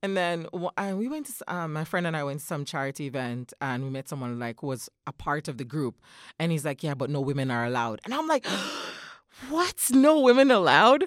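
On a very clean recording with a silent background and a dry, close sound with no echo, a woman with a very deep, low pitch speaks in an animated tone at a fairly quick pace, her pitch swinging very widely. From Jamaica, countryside. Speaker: mother and former recruiter. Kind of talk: casual chat.

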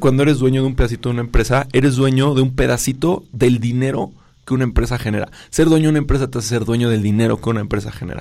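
Over a silent background in a very clean recording, a man talks very fast at a medium pitch with ordinary pitch variation and a dark, mellow tone. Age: 30s. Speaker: startup founder and CEO. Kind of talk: radio interview. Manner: energetic.

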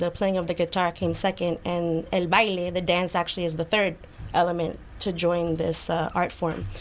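A woman talks with monotone, flat intonation. Her pitch is fairly low and her pace moderate. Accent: American. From New York City, Lower East Side. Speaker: flamenco dancer. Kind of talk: casual interview. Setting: studio.

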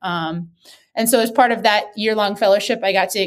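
A woman with an American accent speaks in an unremarkable speaking voice at a medium pitch and a fairly quick pace. Her intonation is fairly even, and the recording is very clean with a silent background. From US Midwest, Wisconsin. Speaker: sports physical therapist. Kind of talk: interview.

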